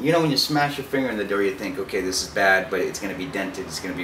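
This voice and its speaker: The man talks at a very fast pace, with noticeable background noise behind him. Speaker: storyteller. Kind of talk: casual story in an interview. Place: home room.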